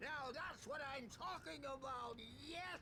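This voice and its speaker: A man's put-on character voice, raised and projected, at a fairly slow pace over loud background noise. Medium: video game.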